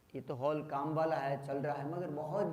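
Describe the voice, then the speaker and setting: A man speaks at a moderate pace. The recording has noticeable background noise and audible room echo. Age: 60s. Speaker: yoga teacher. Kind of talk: talk to workshop participants.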